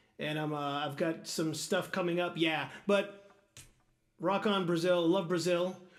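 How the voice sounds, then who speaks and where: Man with a high pitch and fairly even intonation, with audible room echo. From Portuguese-speaking country. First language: Portuguese. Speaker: guitarist streamer. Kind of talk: live stream chat. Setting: live stream. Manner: halting.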